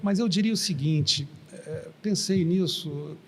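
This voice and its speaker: A man speaks with ordinary pitch variation. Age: 60s. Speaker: engineer and former oil company executive. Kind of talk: interview. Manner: conversational.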